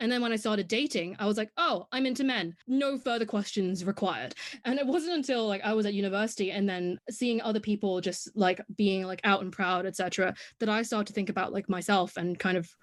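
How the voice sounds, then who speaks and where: A woman talks very fast with an English accent. Her pitch sits in the medium range and varies in an ordinary way. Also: quiet background. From Hong Kong. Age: 20s. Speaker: podcast guest, content creator. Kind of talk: casual interview chat.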